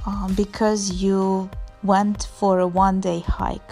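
Faint music plays in the background. A woman speaks at a very slow pace. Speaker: travel vlogger. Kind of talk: casual vlog chat. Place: open country. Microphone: phone near.

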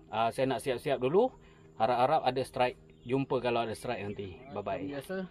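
This man's pitch swings very widely. He keeps a moderate pace. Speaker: fishing vlogger. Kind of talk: casual vlog chat. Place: boat. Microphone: phone near.

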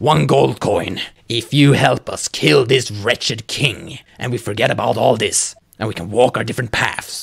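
A man at medium pitch delivers a put-on character voice at a moderate pace. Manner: bargaining, contemptuous.

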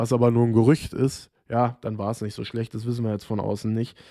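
A man talks at a fairly quick pace with a medium pitch and a dark, mellow tone. His intonation is monotone and flat, against a quiet background. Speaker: football vlogger. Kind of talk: solo commentary video. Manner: informal, chatty, opinionated. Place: home room. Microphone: studio mic.

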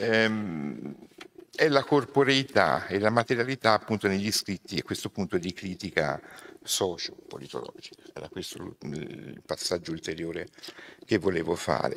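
Vocal fry and very wide pitch swings mark this fairly slow voice, with light background noise behind it. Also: man, very deep, low pitch for a man. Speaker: sociology professor. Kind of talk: lecture. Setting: stage with live audience. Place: hall. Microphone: podium.

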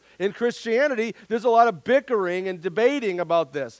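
With a quiet background and a dry sound with no echo, a man talks at a fairly quick pace. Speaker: pastor. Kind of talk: sermon. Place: church.

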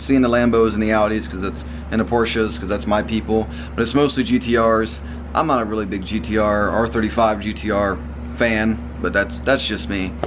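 Fairly low male voice at a moderate pace amid noticeable background noise. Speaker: car vlogger. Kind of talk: casual vlog chat. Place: home room. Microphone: phone near.

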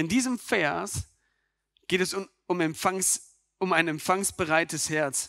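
On a very clean recording with a silent background, a man with a high, bright, sharp voice speaks very slowly, with long, frequent pauses, very even loudness and ordinary pitch variation. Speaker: preacher. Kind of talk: sermon to a church congregation. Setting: church with microphone and congregation. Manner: earnest, direct, addressing listeners as 'du'; conversational, with rhetorical questions and occasional stumbles.

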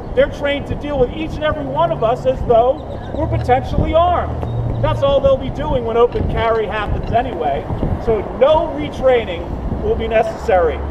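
There is noticeable background noise as a man talks at a moderate pace. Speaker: speaker. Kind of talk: public speech. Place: street. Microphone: camera far.

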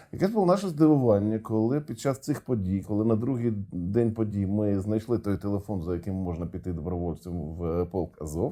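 This man has a Russian accent and a fairly low pitch. He speaks at a moderate pace with lively intonation and hardly any pauses. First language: Russian (speaking Ukrainian). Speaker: interviewer. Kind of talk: interview.

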